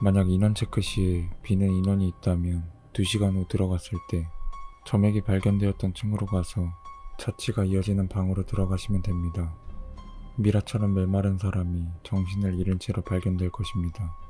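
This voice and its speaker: Over background music, a man speaks at a moderate pace in a very deep, low voice, his intonation monotone and flat and his loudness very even. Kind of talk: horror story narration (rules-style creepy tale), read aloud to listeners.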